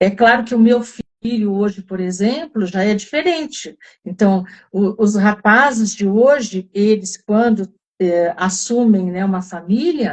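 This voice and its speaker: A somewhat breathy woman at medium pitch, fairly slow in pace, with ordinary pitch variation. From southern Brazil (Rio Grande do Sul). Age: 70s. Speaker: wellness group facilitator. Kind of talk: live online talk. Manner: halting, many fillers.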